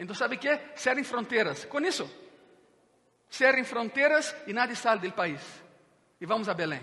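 A man with an extremely high pitch speaks in a raised, projected voice with lively intonation. His pace is moderate, with long, frequent pauses. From Brazil, Minas Gerais (Juiz de Fora). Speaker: pastor. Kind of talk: sermon. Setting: church with congregation.

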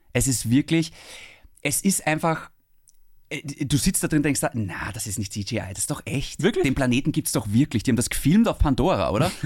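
Somewhat breathy man, fairly high-pitched, with lively intonation, a fairly quick pace and long, frequent pauses, on a very clean recording with a silent background. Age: 30s. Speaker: podcast host. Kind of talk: casual chat.

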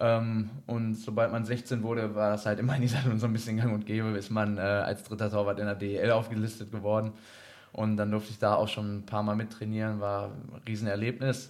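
At a fairly quick pace, a man with a fairly low pitch talks in a flat, monotone intonation. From Germany, Iserlohn (Sauerland, North Rhine-Westphalia). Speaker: ice hockey goalkeeper. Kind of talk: casual interview.

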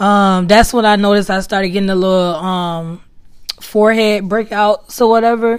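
Woman at a medium pitch and a moderate pace, with ordinary pitch variation. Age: 20s. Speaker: podcast host. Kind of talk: casual monologue.

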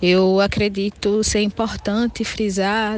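A woman speaks at a very slow pace and a medium pitch. Her intonation stays monotone and flat. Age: 20s. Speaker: activist and researcher. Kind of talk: interview. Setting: video call.

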